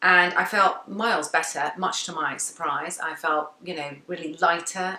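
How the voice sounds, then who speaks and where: A woman with a fairly low pitch speaks at a moderate pace over noticeable background noise. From England. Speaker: vlogger. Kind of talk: casual chat.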